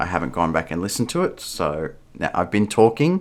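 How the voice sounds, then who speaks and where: A man with a very deep, low pitch and vocal fry. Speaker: vlogger. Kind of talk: casual vlog monologue. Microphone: new cheap USB microphone, some static.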